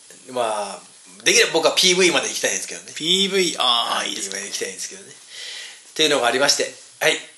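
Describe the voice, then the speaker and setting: Talking at a very fast pace with hardly any pauses, a man with a fairly high pitch swings very widely in pitch and heavily in loudness, amid noticeable background noise and audible room echo. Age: 40s. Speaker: podcast host and band guitarist. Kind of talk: casual chat. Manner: animated.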